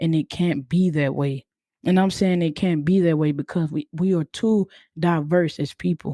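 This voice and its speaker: A woman speaks at a moderate pace with fairly even intonation and a fairly low pitch, her loudness very even and the sound dry and close with no echo. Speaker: podcast host. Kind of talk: casual podcast monologue. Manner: monotone.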